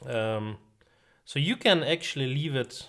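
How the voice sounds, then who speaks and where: Recorded very cleanly against a silent background, a man speaks at a fairly slow pace in a medium pitch with lively intonation. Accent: non-native. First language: not English. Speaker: tech tutorial youtuber. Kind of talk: tutorial. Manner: many filler sounds (uh, um).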